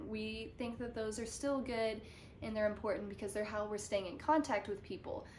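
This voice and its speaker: Room echo can be heard as a woman talks. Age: 20s. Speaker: student presenter. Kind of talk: educational presentation.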